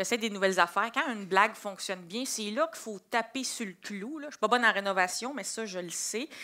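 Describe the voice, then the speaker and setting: In a Quebec accent, a woman speaks fairly quickly with hardly any pauses, at a fairly high pitch with ordinary pitch variation, a bright, sharp tone and big swings in loudness, on a very clean recording with a silent background. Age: 20s. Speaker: comedian. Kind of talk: interview.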